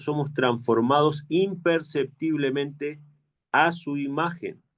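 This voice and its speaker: The speaker talks at a very slow pace with an Argentine accent. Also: man. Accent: Argentine Spanish, kept. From Argentina. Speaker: preacher. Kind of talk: sermon.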